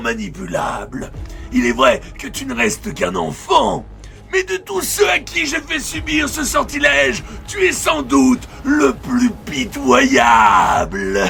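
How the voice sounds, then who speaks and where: A man shouting in a put-on character voice at a fairly slow pace, clear music in the background. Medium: audio drama. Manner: menacing, mocking.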